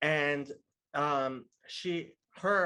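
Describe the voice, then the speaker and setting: Here a man speaks with a bright, sharp tone and a fairly high pitch. The recording is very clean, the background silent. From outside US, immigrated as a child. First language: not English (English is third language). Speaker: podcast guest. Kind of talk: casual chat.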